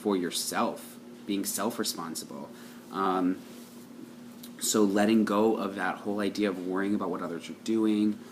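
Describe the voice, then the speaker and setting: A man speaks with long, frequent pauses. Noticeable background noise runs through the clip. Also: fairly low pitch for a man, ordinary pitch variation. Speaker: tarot card reader. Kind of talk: daily tarot reading monologue. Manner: fast; hesitant, many um fillers.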